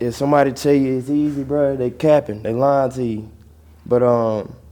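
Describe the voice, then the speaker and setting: Speaking with an Atlanta accent, a man uses a dark, mellow tone at medium pitch, with fairly even intonation and a moderate pace. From Georgia, US South (Barnesville, near Atlanta). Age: 20s. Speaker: rapper. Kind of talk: casual interview.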